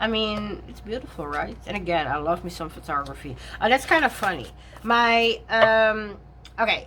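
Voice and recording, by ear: A woman speaks at medium pitch and a moderate pace. Her intonation is lively and her tone fairly bright.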